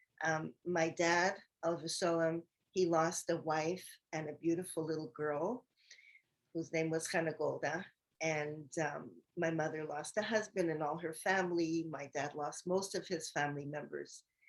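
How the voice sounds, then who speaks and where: A woman speaks at a moderate pace in a plain, everyday voice with a fairly low pitch. Her intonation stays fairly even. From Canada, Montreal. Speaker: host's mother, guest speaker. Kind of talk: personal testimony.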